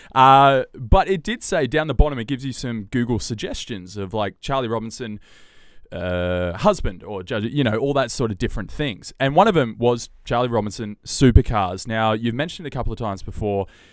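An Australian accent with lively intonation at a fairly quick pace. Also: man, medium pitch for a man. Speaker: podcast host and TV presenter. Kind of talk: casual chat. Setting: video call. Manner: animated.

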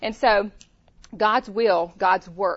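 With a Louisiana accent, a woman speaks in fairly even intonation. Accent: Southern US (Louisiana). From Louisiana, US South. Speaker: women's ministry leader, pastor's wife. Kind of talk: conference workshop talk. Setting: stage with audience.

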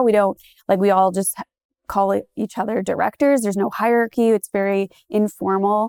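The speaker talks at a moderate pace with fairly even intonation. The sound is dry and close, with no echo. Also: woman. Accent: Ontario. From Goderich, Ontario, Canada. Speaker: local tour business owner and community group organizer. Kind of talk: casual interview.

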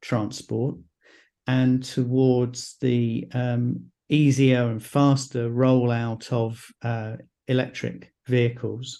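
With a British accent, a man speaks at a medium pitch in a dark, mellow tone. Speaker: co-host. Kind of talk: casual chat.

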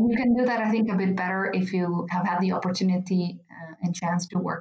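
A woman talks at a fairly quick pace with an Italian accent. Her pitch is medium and her intonation fairly even. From Italy. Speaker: pharma marketing director. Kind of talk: interview.

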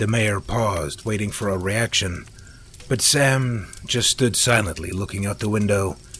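Text is read out loud. The voice sounds natural.

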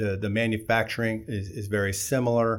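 Fairly low in pitch, a man talks at a fairly slow pace with fairly even intonation, in an unremarkable speaking voice. The recording is very clean, with a silent background. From Southern California. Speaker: company CEO. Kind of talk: interview.

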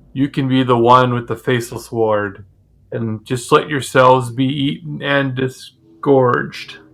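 A man puts on a cackling character voice at a medium pitch. He speaks at a moderate pace. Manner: cackling, gleeful.

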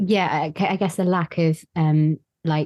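A woman's very deep, low voice in an English accent, dark and mellow, with fairly even intonation, dry and close with no echo. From England. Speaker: podcast guest, spiritual seeker. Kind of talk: casual chat. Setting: video call. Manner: hesitant.

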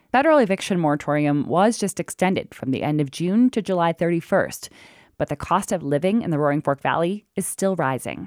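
A woman talks at a fairly quick pace in a plain, everyday voice, fairly low in pitch with lively intonation. The sound is dry and close with no echo, and the recording is very clean with a silent background. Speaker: radio reporter. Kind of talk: news reporting.

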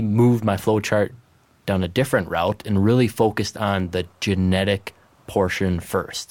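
In a very clean recording with a silent background, a man with a plain, everyday voice speaks at a moderate pace, his fairly low pitch showing ordinary variation. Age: 20s. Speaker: agronomy seed manager. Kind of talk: casual chat.

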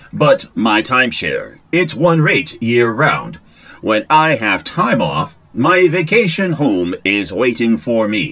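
A put-on character voice delivered at a fairly slow pace. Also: man, medium pitch for a man. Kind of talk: pushy sales pitch. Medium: audio drama.

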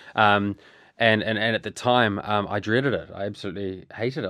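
A man with a New Zealand accent, fairly low in pitch and fairly even in intonation, over a quiet background. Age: 30s. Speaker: bereaved brother and business owner. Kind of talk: personal interview about grief. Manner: halting, many repeated words and fillers.

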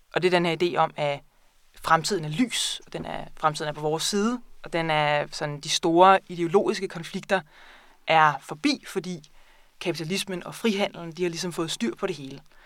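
In a very clean recording with a silent background, an unremarkable speaking voice uses ordinary pitch variation but shows big swings in loudness. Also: woman, fairly low pitch for a woman, moderate pace. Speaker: librarian and book buyer. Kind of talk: casual interview about books. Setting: studio.

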